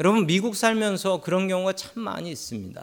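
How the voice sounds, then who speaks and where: On a very clean recording with a silent background, a man talks at a fairly quick pace in a high pitch. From Seoul, South Korea. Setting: church.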